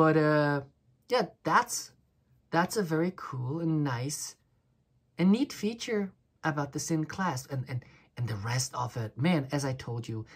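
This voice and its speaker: A woman with a very deep, low pitch and a somewhat breathy voice speaks at a fairly slow pace with very wide pitch swings and long, frequent pauses, on a very clean recording with a silent background. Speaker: watch reviewer. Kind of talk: casual product review. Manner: halting, stuttering; animated.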